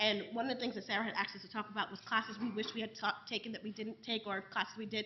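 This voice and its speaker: Noticeable background noise sits behind a woman talking at a very fast pace in an American accent. Her fairly high voice keeps a fairly even intonation. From New York City. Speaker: professor. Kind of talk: panel discussion.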